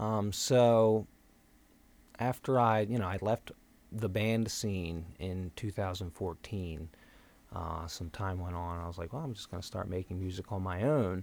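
Speaking fairly slowly with ordinary pitch variation, a man with a very deep, low voice is heard on a very clean recording with a silent background. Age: 30s. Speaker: church member and music producer. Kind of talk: testimony. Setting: studio. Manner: halting.

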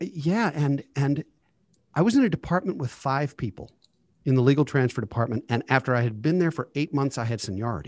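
In a dry, close recording with no echo and a quiet background, a man with a fairly high voice talks at a fairly quick pace with lively intonation. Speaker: financial advisor. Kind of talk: casual chat. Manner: informal.

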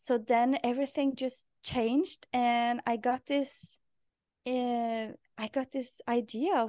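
With a Norwegian accent, a woman speaks in a high voice with a dark, mellow tone, the sound dry and close with no echo and the background quiet. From Norway. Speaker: podcast host and life purpose coach. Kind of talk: interview. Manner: halting.

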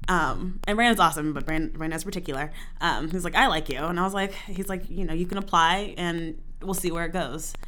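With audible room echo and noticeable background noise, a woman talks at a fairly quick pace in a fairly low pitch with ordinary pitch variation. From military family, moved often (Germany, Texas, Virginia). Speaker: theater programming manager. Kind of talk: casual chat.

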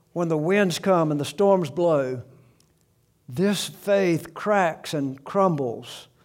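Speaking in a Southern US accent at a very slow pace, a man has a high pitch with ordinary pitch variation. Room echo is audible. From US South, South Alabama. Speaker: pastor. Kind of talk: sermon.

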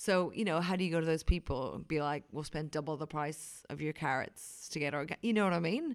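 A woman with a very deep, low pitch and an Irish accent at a fairly quick pace, ordinary pitch variation, on a very clean recording with a silent background. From Ireland, County Wicklow. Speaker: wine writer. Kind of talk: casual interview. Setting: conference venue room. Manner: animated.

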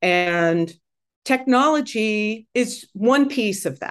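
Over a quiet background, a woman with an American accent uses an ordinary speaking voice at medium pitch with lively intonation. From US, Pittsburgh. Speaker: music technology professor. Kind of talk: interview conversation.

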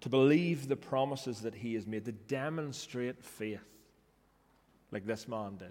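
The speaker has a Northern Irish accent and ordinary pitch variation. The pace is fairly slow, with long, frequent pauses. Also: man, medium pitch for a man. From Northern Ireland. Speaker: pastor. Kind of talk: sermon. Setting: church.

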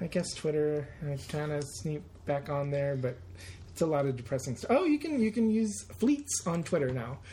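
Speaking at a moderate pace, a man with a fairly high, somewhat breathy voice makes very wide pitch swings. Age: 40s. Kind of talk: casual chat.

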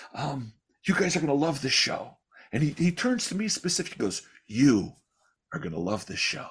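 Long, frequent pauses break up a man's fairly high voice, which carries vocal fry and very wide pitch swings. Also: moderate pace. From Chicago. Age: 50s. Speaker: magician. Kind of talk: casual chat. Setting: video call.

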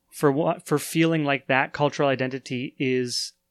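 A man with a Canadian accent speaks at a moderate pace and a fairly high pitch, the sound dry and close with no echo on a very clean recording with a silent background. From Canada. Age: 30s. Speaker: podcast host. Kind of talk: casual chat. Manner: halting, many fillers.

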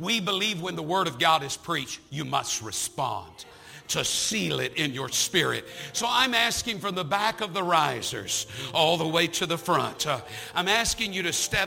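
Over music in the background, a man with a high pitch speaks at a moderate pace in an animated tone with lively intonation. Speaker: visiting preacher. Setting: church with live congregation. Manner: warm and humorous, with playful asides.

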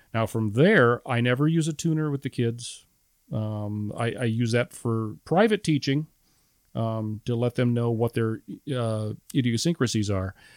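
A man with a Midwestern American accent speaks at a fairly slow pace with ordinary pitch variation. The recording is very clean, with a silent background and a dry, close sound with no echo. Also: medium pitch for a man. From central Illinois (Metamora). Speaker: retired high school band director. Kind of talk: casual interview.

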